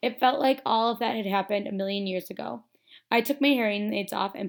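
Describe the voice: Plain reading aloud, with ordinary pitch variation over a quiet background.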